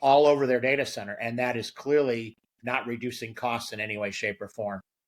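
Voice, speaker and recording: With a plain, everyday voice, a man talks at a moderate pace and medium pitch with ordinary pitch variation. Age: 60s. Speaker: storage company marketing executive. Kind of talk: interview.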